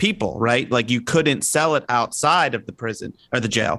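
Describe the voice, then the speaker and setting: A normal speaking voice talks at a moderate pace in an American accent. The background is quiet. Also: man. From New York. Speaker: TV segment director. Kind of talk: casual chat.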